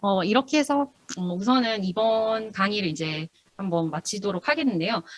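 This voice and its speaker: The sound is dry and close with no echo as a woman speaks at a medium pitch with lively intonation. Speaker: university lecturer in cryptography. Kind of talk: lecture. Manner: fast.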